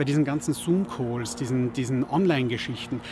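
A man speaks at a moderate pace with ordinary pitch variation. The sound is dry with no echo, with noticeable background noise. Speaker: podcaster. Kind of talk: advice talk to camera. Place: garden.

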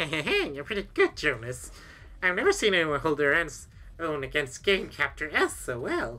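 A put-on character voice, female-sounding, at a moderate pace in a very clean recording with a silent background. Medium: game stream. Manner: excitable, boyish.

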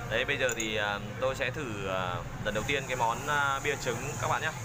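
A man's voice at a moderate pace with ordinary pitch variation, over noticeable background noise. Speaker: food travel vlogger. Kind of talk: casual vlog chat. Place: cafe. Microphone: phone near.

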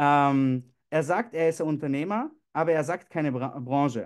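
A man with a fairly high pitch against a quiet background. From Austria. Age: 20s. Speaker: network marketing leader. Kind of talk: motivational talk. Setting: video call. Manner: animated. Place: home room. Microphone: webcam.

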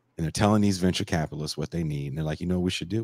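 A man's very deep, low pitch, dry with no echo, over a quiet background. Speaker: musician and podcast host. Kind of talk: casual chat. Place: home room. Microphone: handheld.

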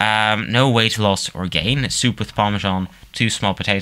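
The speaker uses an unforced reading voice. Nothing more stands out.

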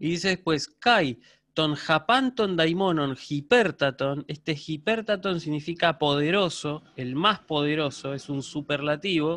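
A fairly high-pitched man at a fairly slow pace with ordinary pitch variation. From Argentina. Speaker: university lecturer in Ancient Greek; university teacher of Greek. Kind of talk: online lecture; lecture. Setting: video call. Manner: hesitant fillers, repeats words. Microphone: video call.

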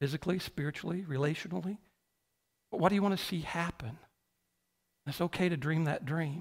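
With long, frequent pauses, a man talks at a very fast pace, his fairly high pitch showing ordinary variation. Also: quiet background. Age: 50s. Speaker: pastor. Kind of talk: sermon. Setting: church. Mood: earnest, reflective. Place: church. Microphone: headset.

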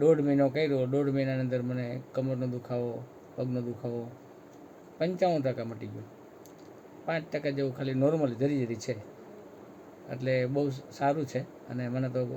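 This man has an ordinary speaking voice at a medium pitch. His intonation stays fairly even. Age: 60s. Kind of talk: testimonial interview.

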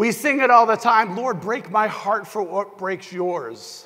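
A man's raised, projected voice in an American accent at a fairly slow pace, with noticeable background noise. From US Northeast, New Hampshire. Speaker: pastor. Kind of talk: sermon. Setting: church.

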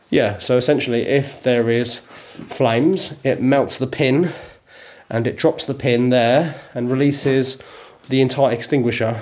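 The speaker is a man. He talks fairly slowly with fairly even intonation. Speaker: property owner or guide. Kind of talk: casual explanatory chat.

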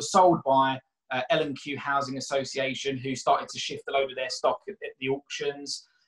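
A man with a South London accent speaks with big swings in loudness. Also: moderate pace, quiet background. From South London (Catford, Bromley area). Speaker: mortgage broker and property investor; guest. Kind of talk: casual interview; interview answer. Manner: hesitant, repeats words. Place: home room. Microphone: webcam.

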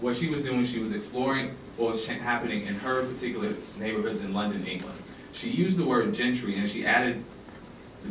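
Lively intonation carries a man's American accent at a very fast pace. Audible room echo and light background noise are present. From US South. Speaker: documentary filmmaker. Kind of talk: public talk. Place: classroom. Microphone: camera far.

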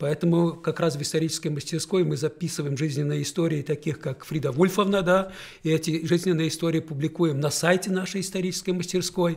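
Against a quiet background, a man talks at a fairly quick pace with a fairly high pitch and fairly even intonation. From Belarus. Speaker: educational center director; guest. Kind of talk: studio interview. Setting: radio studio. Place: studio. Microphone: studio mic.

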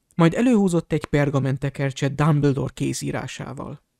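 Against a silent background on a very clean recording, the speaker talks fairly slowly. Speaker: audiobook reader. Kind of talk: reading aloud.

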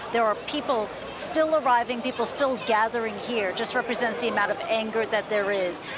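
Against loud background noise, a woman talks at a moderate pace with hardly any pauses and ordinary pitch variation, the sound dry with no echo. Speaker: news correspondent. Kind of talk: live news report. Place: street.

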